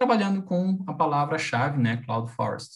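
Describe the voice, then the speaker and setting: The speech moves at a moderate pace with lively intonation against a quiet background. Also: man. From Brazil. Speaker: university professor. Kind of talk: lecture. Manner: halting. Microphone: video call.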